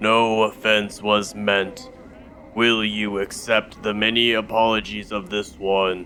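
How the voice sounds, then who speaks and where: In a put-on character voice, a man speaks fairly slowly at a fairly low, resonant pitch in a flat monotone, with clear background noise behind him. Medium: actual play. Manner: formal, speaks of himself in third person.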